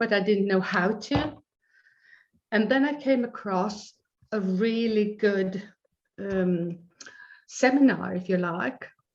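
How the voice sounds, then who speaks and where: Very slow, somewhat breathy delivery from a woman, her pitch fairly high and its variation ordinary. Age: 70s. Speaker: life coach and author. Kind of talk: interview.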